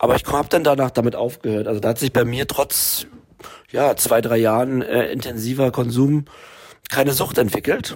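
With an ordinary speaking voice, a man talks at a medium pitch and a moderate pace, his intonation fairly even. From Berlin. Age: 40s. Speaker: film director, recovering addict. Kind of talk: interview.

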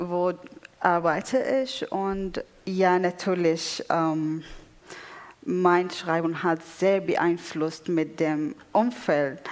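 Noticeable background noise surrounds a voice in an Arabic accent that moves at a very slow pace with long, frequent pauses and ordinary pitch variation. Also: woman, fairly low pitch for a woman. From Syria, Damascus. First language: Arabic (speaking German). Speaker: poet. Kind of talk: panel discussion on stage. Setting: theatre stage with audience. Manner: halting.

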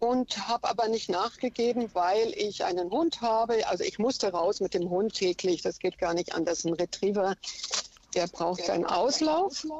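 With noticeable background noise behind her, a woman of medium pitch speaks with lively intonation and very even loudness. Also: moderate pace. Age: 60s. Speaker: caller. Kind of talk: radio phone-in. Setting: phone call from a car.

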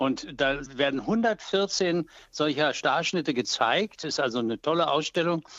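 A man with a fairly high pitch talks very slowly, varying his pitch in an ordinary way. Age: 80s+. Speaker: photographer. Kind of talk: phone interview, anecdotes. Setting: phone call.

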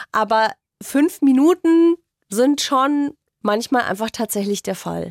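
A woman with a high pitch, lively intonation and a very slow pace, on a very clean recording with a silent background and a dry, close sound with no echo. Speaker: radio host. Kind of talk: casual chat.

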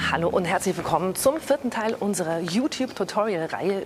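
A woman speaks at a very fast pace with lively intonation and medium pitch. Noticeable background noise runs under her voice. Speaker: radio presenter. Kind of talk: tutorial. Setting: film school cinema. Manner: casual, lively.

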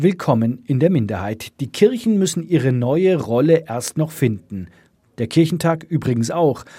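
Somewhat breathy and dark, mellow in tone, a man's fairly high voice moves through very wide pitch swings at a moderate pace on a very clean recording with a silent background. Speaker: radio presenter. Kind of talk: radio feature narration. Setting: studio.

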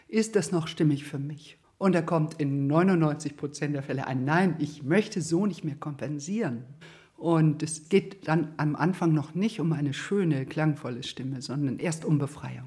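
Somewhat breathy and dark, mellow in tone, a woman speaks with a very deep, low pitch and ordinary pitch variation. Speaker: voice therapist. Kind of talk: interview.

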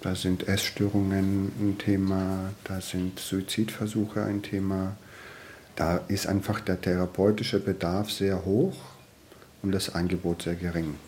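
A calm man speaks at a fairly slow pace, his very deep, low voice flat and monotone. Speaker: social worker in youth welfare. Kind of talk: interview.

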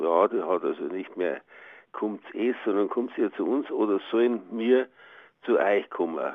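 A man is speaking. His pace is very slow. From Bavaria. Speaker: dialect researcher, professor. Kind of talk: interview.

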